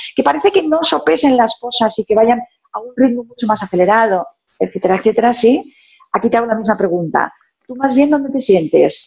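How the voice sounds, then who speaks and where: A woman with a plain, everyday voice talks at a fairly quick pace, her intonation lively. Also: fairly high pitch for a woman. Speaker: sales consultant and author. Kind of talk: interview.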